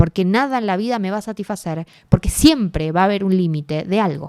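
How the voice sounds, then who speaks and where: Dark and mellow in tone, a woman talks at a fairly quick pace with lively intonation, the sound dry and close with no echo. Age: 20s. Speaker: writer and activist. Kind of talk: interview conversation.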